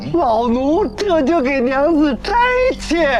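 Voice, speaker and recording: A put-on character voice is pitched high. Clear background noise sits underneath it. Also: fairly slow pace. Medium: short film. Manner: fawning.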